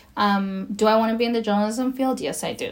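Noticeable noise sits in the background. The pace is fairly quick, with ordinary pitch variation. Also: woman. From Los Angeles, US. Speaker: podcast guest, DACA recipient. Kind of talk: casual interview.

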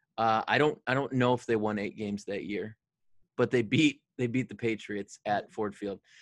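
A man with a Michigan accent talks at a moderate pace with fairly even intonation, in a dry, close sound with no echo. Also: medium pitch for a man. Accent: Michigan (Inland North) American. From Detroit area, Michigan. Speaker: pastor, podcast co-host. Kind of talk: casual chat between co-pastors, doctrine and football.

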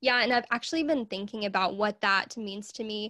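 Her fairly high voice carries a Southern US accent at a moderate pace. The woman's sound is dry and close, with no echo. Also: very clean recording, silent background. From US South, Arkansas. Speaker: podcast host and small business owner. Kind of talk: casual interview chat. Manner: laughs often.

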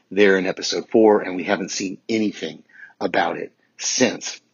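Here is a man with a plain, everyday voice. He sounds fairly low-pitched and keeps a moderate pace. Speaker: listener leaving voicemail. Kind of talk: voicemail feedback. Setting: phone voicemail.

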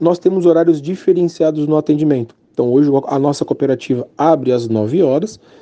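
A man's fairly high, normal speaking voice at a fairly quick pace, with ordinary pitch variation. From São Paulo, Brazil. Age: 40s. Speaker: bank branch manager. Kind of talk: interview; promotional pitch.

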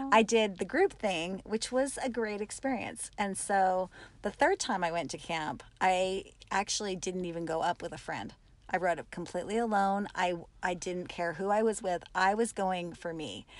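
A woman with an unremarkable speaking voice talks at a moderate pace in a medium pitch with ordinary pitch variation against a quiet background. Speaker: camp attendee guest. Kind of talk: casual interview chat.

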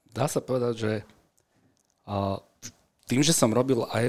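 Delivery is neither fast nor slow. Pitch rises and falls only a little, staying fairly even. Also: man. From Slovakia, Bratislava and Senec. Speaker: strength and conditioning coach. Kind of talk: interview conversation. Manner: hesitant with fillers.

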